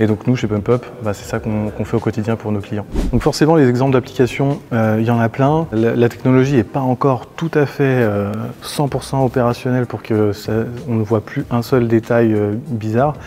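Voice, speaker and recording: There is noticeable background noise behind a man's medium-pitched voice. He speaks at a moderate pace with fairly even intonation. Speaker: marketing automation expert. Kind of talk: software tutorial. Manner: monotone; hesitant, many fillers.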